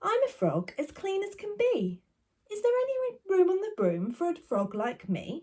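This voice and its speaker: A woman performs a put-on character voice. Her pitch is extremely high and her pace moderate. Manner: polite, cheerful.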